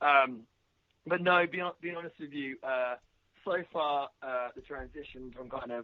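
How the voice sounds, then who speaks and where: Here a man with an English accent speaks at a fairly slow pace and fairly high pitch. His pitch variation is ordinary, while his loudness swings widely. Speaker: professional wrestler. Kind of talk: interview. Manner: halting.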